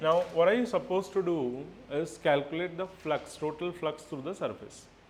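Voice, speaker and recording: A man's fairly high voice over noticeable background noise. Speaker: physics teacher. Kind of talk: classroom lecture.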